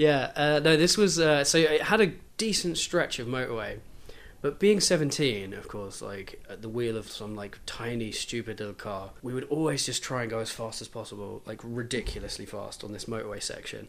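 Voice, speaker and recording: In a southern English accent, a man speaks at a moderate pace and medium pitch, with lively intonation and big swings in loudness. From southeast England (Kent). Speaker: podcast guest, music fan. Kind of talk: casual chat.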